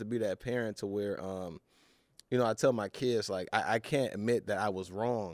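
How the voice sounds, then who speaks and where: In a very clean recording with a silent background, a man with an American accent speaks at medium pitch with ordinary pitch variation, an unremarkable speaking voice. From Los Angeles. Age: 30s. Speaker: actor. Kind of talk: casual chat.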